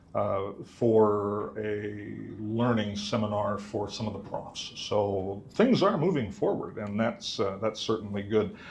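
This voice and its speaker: Delivered at a very slow pace with hardly any pauses, the speech has monotone, flat intonation and audible room echo. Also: man. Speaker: mathematics instructor. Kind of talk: conference talk. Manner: loud.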